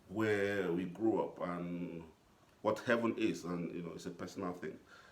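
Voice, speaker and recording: A man talks at a moderate pace in a very deep, low voice with ordinary pitch variation. There is noticeable noise behind him. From Cameroon. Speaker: poet. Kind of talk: introducing poems to an audience.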